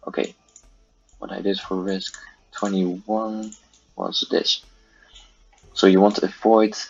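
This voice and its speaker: Over music in the background, a man speaks at a fairly slow pace with a fairly low pitch and monotone, flat intonation. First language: not English. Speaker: gaming youtuber. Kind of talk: game tutorial. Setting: at home. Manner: halting, many fillers. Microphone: poor audio quality.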